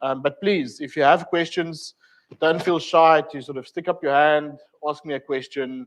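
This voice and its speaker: A man's fairly high-pitched voice with a South African accent, moderate pace and fairly even intonation. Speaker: technical trainer. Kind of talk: lecture. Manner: hesitant, many fillers.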